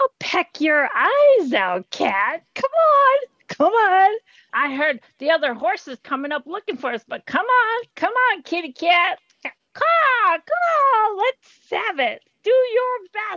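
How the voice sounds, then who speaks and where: Putting on a character voice, a woman speaks at an extremely high pitch with very wide swings. Her pace is fairly slow. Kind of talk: comic animal voice. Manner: cawing, taunting, feisty.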